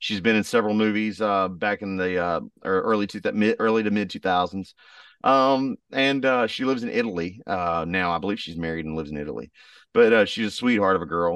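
With a Southern US accent, a man talks at a fairly quick pace in a fairly low pitch with ordinary pitch variation against a quiet background. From US South. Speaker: country singer. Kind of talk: casual interview.

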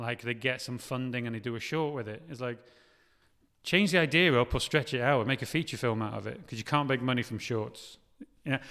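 On a very clean recording with a silent background, a man with a North Welsh accent speaks at a medium pitch and fairly quick pace in a bright, sharp tone. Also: ordinary pitch variation. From North Wales. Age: 30s. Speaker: film director. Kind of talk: casual interview.

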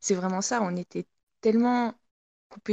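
In a dry, close sound with no echo, a woman's dark, mellow tone carries ordinary pitch variation. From France, Haute-Savoie. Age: 20s. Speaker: professional biathlete. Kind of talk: interview.

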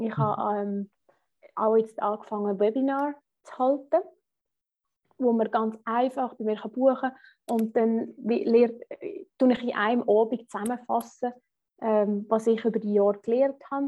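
Fairly high in pitch, a woman speaks fairly slowly with fairly even intonation. Her pauses are long and frequent. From rural Switzerland. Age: 30s. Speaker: finance blogger and podcaster. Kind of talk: interview. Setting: video call.

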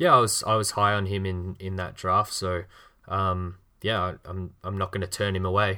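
A man with an Australian accent speaks at a moderate pace in a very deep, low voice, his bright, sharp tone held in a flat monotone on a very clean recording with a silent background. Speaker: podcast host. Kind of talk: casual chat.

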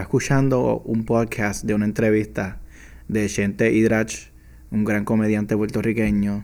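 On a very clean recording with a silent background, a man with a fairly low pitch speaks at a very slow pace. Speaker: podcast host. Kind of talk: casual monologue. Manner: casual, Spanglish code-switching. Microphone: new microphone.

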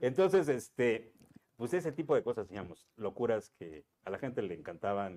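A man's medium-pitched voice, dark and mellow, with very wide pitch swings, big swings in loudness, and a moderate pace. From Cuernavaca, Mexico. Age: 50s. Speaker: radio sports announcer. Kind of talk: casual chat.

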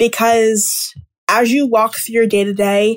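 In a normal speaking voice, a woman talks at a fairly slow pace, recorded very cleanly against a silent background with a dry, close sound and no echo. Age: 20s. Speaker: podcast host, student entrepreneur. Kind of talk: solo podcast monologue.

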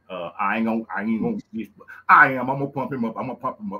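A man with a Louisiana accent. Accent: Louisiana Southern US. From Louisiana, US South. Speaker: podcast host. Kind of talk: casual show intro. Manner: animated, excited.

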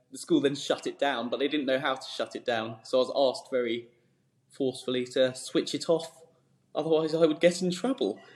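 Talking at a fairly quick pace, a man has a southern English accent. His voice sits fairly high, with ordinary pitch variation. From southern England, Surrey. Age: 20s. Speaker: startup founder. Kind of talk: interview. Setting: office.

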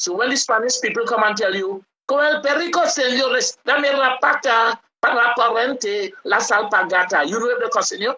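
In a Trinidadian accent, the speaker sounds animated and keeps a moderate pace. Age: 70s. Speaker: calypso singer and songwriter. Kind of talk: casual interview.

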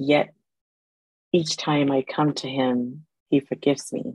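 A woman with a very deep, low voice speaks at a fairly slow pace and fairly even intonation, the sound dry and close with no echo. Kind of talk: casual interview conversation.

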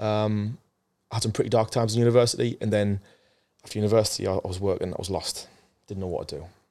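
Here a man talks at a very fast pace, with long, frequent pauses. His tone is dark and mellow, with fairly even intonation. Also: very clean recording, silent background. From northern England, Sunderland. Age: 30s. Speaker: mental health charity founder. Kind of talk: interview. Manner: halting, with repetitions.

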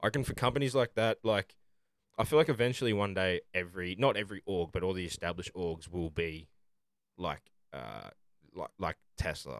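With an Australian accent, a man's very deep, low voice carries vocal fry and lively intonation at a fairly quick pace, broken by long, frequent pauses, in a dry, close sound with no echo. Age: 20s. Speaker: podcast host. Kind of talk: casual chat.

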